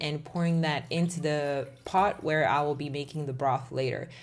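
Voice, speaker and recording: Moderate pace from a woman's voice. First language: Czech. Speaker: cooking content creator. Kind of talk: tutorial voiceover. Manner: casual, conversational.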